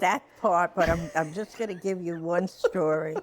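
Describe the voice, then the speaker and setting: A woman with an American accent at medium pitch, ordinary pitch variation, and noticeable background noise. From Brooklyn, New York. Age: 80s+. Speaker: retired teacher. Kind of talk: storytelling in a podcast conversation.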